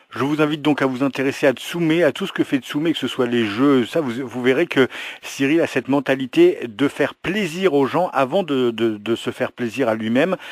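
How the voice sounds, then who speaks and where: A man talks in a normal speaking voice, fairly high in pitch, with ordinary pitch variation and a moderate pace. The sound is dry and close with no echo. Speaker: interviewer, channel host. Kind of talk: interview questions to camera.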